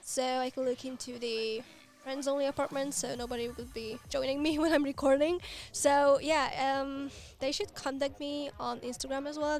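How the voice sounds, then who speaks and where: A woman at a high pitch, with fairly even intonation and a moderate pace, over music in the background. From Hungary. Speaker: video creator for the game. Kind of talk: livestream Q&A chat.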